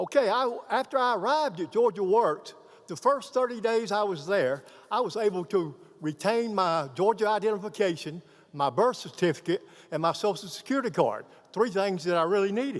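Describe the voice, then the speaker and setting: A man speaks at a fairly quick pace. His pitch is high. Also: lively intonation. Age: 60s. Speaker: program graduate, veteran. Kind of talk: graduation speech. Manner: halting.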